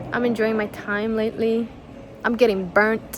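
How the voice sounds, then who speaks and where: A woman with a Spanish accent, fairly high pitch, animated tone and fairly quick pace amid noticeable background noise. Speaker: YouTuber and artist. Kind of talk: casual vlog Q&A. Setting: outdoors. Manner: chatty, animated.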